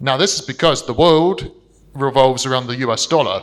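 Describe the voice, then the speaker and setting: A bright, sharp tone with a London accent, at a fairly quick pace with ordinary pitch variation. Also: man. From London, England. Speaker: investment strategist. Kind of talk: seminar presentation. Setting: stage with audience.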